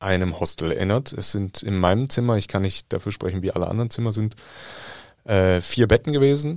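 A man speaks at a fairly low pitch with ordinary pitch variation on a very clean recording with a silent background. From Germany. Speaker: journalist. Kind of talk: casual chat.

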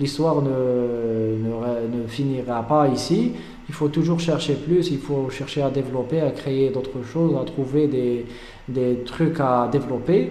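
Very slow speech with fairly even intonation, audible room echo and noticeable background noise. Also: man, medium pitch for a man. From Algeria. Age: 20s. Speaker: beekeeper and entrepreneur. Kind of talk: interview. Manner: halting.

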